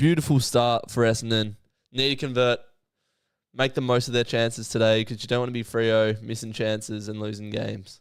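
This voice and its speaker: With an Australian accent, the speaker talks at a fairly quick pace on a very clean recording with a silent background. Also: man, medium pitch for a man. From Western Australia, Perth. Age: 20s. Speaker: streamer and sports commentator. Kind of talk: live commentary. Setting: live stream watchalong. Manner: animated.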